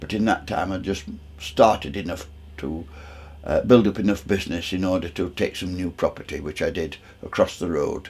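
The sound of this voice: The man's voice is low in pitch with a slightly mellow tone. He keeps a moderate pace and fairly even intonation.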